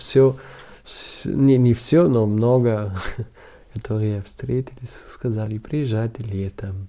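A man with a German accent speaks at a very slow pace and medium pitch, with long, frequent pauses. His tone is dark and mellow, with ordinary pitch variation. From Germany, Munich. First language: German (speaking Russian). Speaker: documentary photographer. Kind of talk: interview. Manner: halting, with many fillers.

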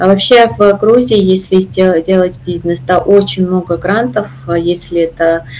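A woman speaks with a Georgian accent at a fairly low pitch. Her pace is very slow. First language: Georgian (speaking Russian). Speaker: operations director. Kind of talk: interview. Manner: halting.

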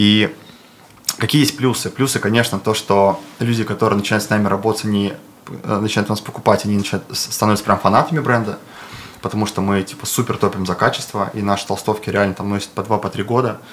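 Over noticeable background noise, a man with a fairly low pitch speaks at a very fast pace and with fairly even intonation. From Bashkortostan, Russia (Ufa). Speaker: clothing brand co-founder, entrepreneur. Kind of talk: casual interview.

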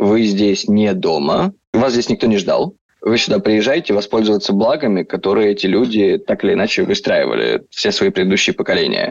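A man at a moderate pace with very even loudness. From southern Russia, Rostov. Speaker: entrepreneur, emigrant. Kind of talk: casual interview.

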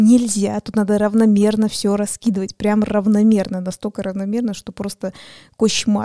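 A woman of medium pitch speaks in a monotone with flat intonation and a dark, mellow tone. The sound is dry and close with no echo, on a very clean recording with a silent background. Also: moderate pace. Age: 20s. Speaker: board game podcast co-host. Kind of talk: casual chat.

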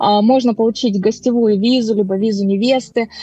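A woman speaks with ordinary pitch variation in a dry, close recording with no echo, music playing in the background. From Moldova. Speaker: immigration consultant. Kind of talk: interview.

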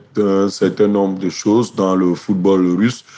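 A man's fairly low, dark, mellow voice with monotone, flat intonation. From Cameroon. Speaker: sports journalist. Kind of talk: interview.

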